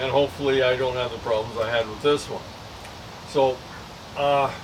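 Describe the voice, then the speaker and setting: Against noticeable background noise, a man speaks at a moderate pace in a medium-pitched, monotone, flat voice. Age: 70s. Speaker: vlogger sharing health update. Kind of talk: casual personal video update. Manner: halting, many fillers.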